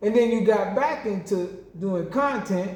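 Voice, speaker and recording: At a fairly slow pace, a man with a Southern US accent speaks in a high pitch with an animated tone and audible room echo. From US South. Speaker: boxing game YouTuber. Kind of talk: heated rant response video.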